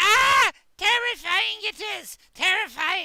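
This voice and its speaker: Very slow and squeaky, this put-on character voice is shrill and pitched extremely high. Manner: shrieking, frightened.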